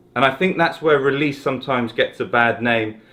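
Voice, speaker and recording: A man speaks with a southern English accent. His pitch is medium and his pace moderate. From South West England, Exeter. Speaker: golf coach. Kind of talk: tutorial. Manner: casual, conversational.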